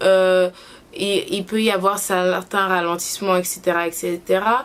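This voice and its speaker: Noticeable background noise sits behind a woman speaking. She talks at a very slow pace with a medium pitch. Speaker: YouTuber. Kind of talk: casual vlog review. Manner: hesitant, many fillers.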